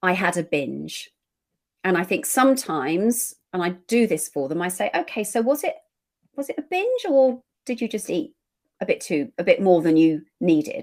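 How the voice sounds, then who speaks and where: In an English accent, a woman speaks at a moderate pace with very wide pitch swings, on a very clean recording with a silent background. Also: medium pitch for a woman. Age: 60s. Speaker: eating behaviour practitioner. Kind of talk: podcast interview.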